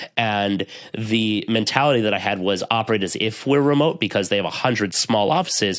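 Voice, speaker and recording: With an American accent, a man speaks at a fairly quick pace. His fairly low voice shows ordinary pitch variation. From US East Coast. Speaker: IT professional and podcaster. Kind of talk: interview conversation. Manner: fast.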